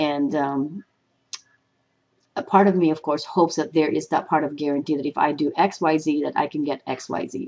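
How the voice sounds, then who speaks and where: The speaker has a Filipino accent and talks at a fairly quick pace with fairly even intonation. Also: woman. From Philippines. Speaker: motivational speaker. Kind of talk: personal reflection vlog. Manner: halting, with fillers.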